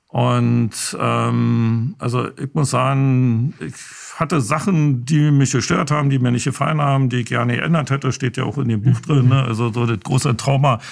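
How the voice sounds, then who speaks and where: With a Berlin accent, a man talks at a moderate pace. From East Berlin. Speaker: filmmaker. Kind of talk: interview. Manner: hesitant, many fillers.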